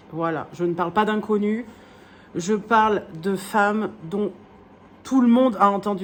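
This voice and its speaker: At a fairly slow pace, a woman of medium pitch speaks with fairly even intonation and long, frequent pauses. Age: 30s. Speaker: wool dyer and craft vlogger. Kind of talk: casual vlog chat. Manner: hesitant, many fillers.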